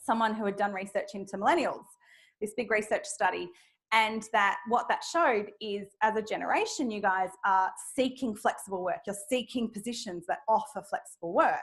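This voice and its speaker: On a very clean recording with a silent background, a woman with an Australian accent speaks at a fairly high pitch with ordinary pitch variation. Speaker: speaker on flexible work, manager. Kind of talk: audience Q&A at a talk. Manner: fast when passionate.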